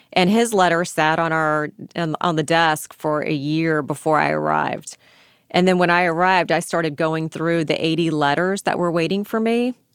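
Moderately paced and very even in loudness, a woman speaks in a plain, everyday voice at a fairly low pitch with ordinary pitch variation, in a very clean recording with a silent background. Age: 50s. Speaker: attorney heading a conviction review unit. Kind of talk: interview.

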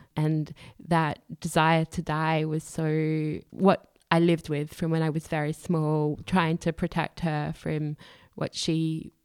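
A woman with an Australian accent speaks at a very deep, low pitch with monotone, flat intonation. The very clean recording has a silent background and a dry, close sound with no echo. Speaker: human rights activist. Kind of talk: interview.

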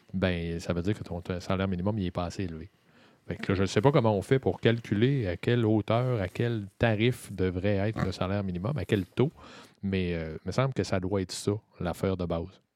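In an ordinary speaking voice, a man with a fairly low pitch and ordinary pitch variation talks at a fairly quick pace, recorded with a dry, close sound with no echo against a quiet background. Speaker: political commentator. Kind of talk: casual political discussion. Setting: studio.

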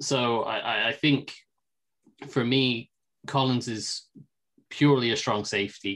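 A man speaks with an English accent. His pace is fairly slow. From England. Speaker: football film analyst. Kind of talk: casual sports analysis chat.

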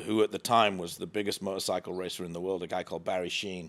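A man's very deep, low voice in flat, monotone intonation, on a very clean recording with a silent background. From northern England, near Redcar. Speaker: winery founder. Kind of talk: interview. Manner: halting.

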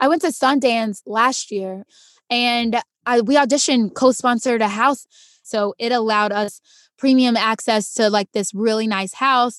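With a plain, everyday voice, a woman talks at a moderate pace and a fairly high pitch, her intonation fairly even against a quiet background. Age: 20s. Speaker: actress and stunt performer. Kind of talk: casual chat.

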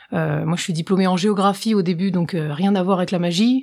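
A woman's ordinary speaking voice at a fairly quick pace. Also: very clean recording, silent background. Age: 20s. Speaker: professional magician. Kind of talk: casual interview.

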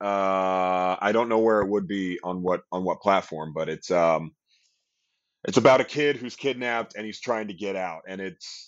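A man's normal speaking voice, fairly low in pitch, with an American accent, at a moderate pace against a quiet background. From US West Coast, Long Beach, California. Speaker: stage actor and dancer. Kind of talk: casual interview. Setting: recording studio.

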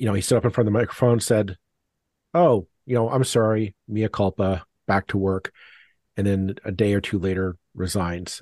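A man's fairly low voice at a moderate pace, fairly even in intonation, dry and close with no echo, over a quiet background. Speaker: podcast co-host. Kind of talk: interview. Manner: halting.

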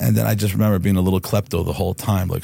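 A man's very deep, low voice with vocal fry. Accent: American. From New Jersey, US. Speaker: former biker and recovering addict sharing his story. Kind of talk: casual interview, personal storytelling. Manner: relaxed, casual, candid.

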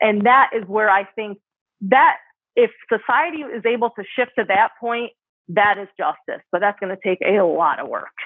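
A woman with an American accent speaks at a moderate pace in an unremarkable speaking voice, pitched fairly high, with ordinary pitch variation. Her loudness swings widely. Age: 30s. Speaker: cannabis influencer and music photographer. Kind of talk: interview conversation.

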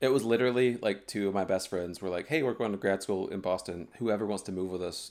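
A man with an American accent and a fairly low pitch uses a normal speaking voice at a fairly quick pace with ordinary pitch variation, recorded very cleanly against a silent background. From US South, North Carolina (High Point, Greensboro). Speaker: photographer. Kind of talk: casual chat.

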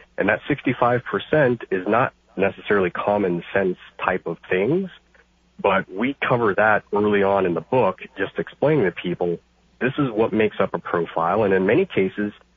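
This man speaks at a moderate pace. His voice sits fairly low, with ordinary pitch variation. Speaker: caller; credit expert, author. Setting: phone.

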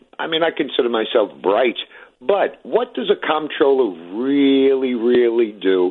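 Lively, bouncing intonation in a New York accent. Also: man, medium pitch for a man, fairly slow pace. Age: 50s. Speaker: retired city worker, caller. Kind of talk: call-in talk radio.

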